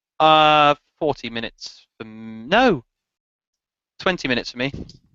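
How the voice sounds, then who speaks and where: A man speaks at a moderate pace with lively intonation. His loudness rises and falls in big swings. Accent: English. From England. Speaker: motovlogger. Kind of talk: casual chat. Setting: video call.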